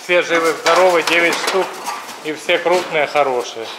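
Light noise sits in the background as a man speaks at a high pitch. His pace is fairly slow and his intonation fairly even. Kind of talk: casual vlog chat. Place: farm machine. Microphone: phone near.

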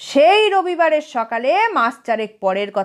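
What you hear is plain reading aloud.

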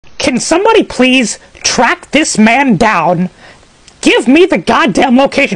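A man performs in a cartoonish character voice. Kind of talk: comedic reaction to a video. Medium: puppet. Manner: excited, profane.

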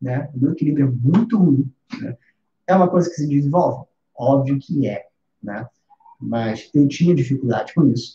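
Over light background noise and audible room echo, a man with a fairly high, somewhat breathy voice and a dark, mellow tone speaks at a moderate pace with lively intonation and long, frequent pauses. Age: 30s. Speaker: music teacher. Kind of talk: live stream lesson. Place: home room.

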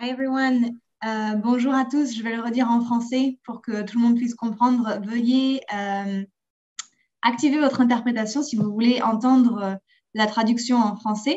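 A woman with an unremarkable speaking voice talks at a fairly slow pace, her pitch fairly high and her intonation fairly even. The background is quiet. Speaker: webinar moderator. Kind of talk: webinar announcements. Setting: video call. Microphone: video call.

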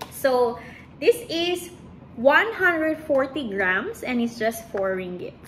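A woman with a Visayan Filipino accent and a high pitch speaks very slowly, her pitch swinging very widely, with long, frequent pauses and light background noise. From Philippines, Iloilo (Ilonggo region). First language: Hiligaynon. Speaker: lifestyle vlogger. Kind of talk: casual vlog chat. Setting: at home, filming herself. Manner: casual, with hesitations. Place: kitchen. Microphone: phone near.

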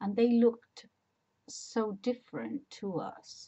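A woman speaks at a very slow pace. Her voice is somewhat breathy. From Spain. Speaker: personal memoir vlogger. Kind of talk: casual talk to camera. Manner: hesitant, rambling. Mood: warm, reflective. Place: home room. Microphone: webcam.

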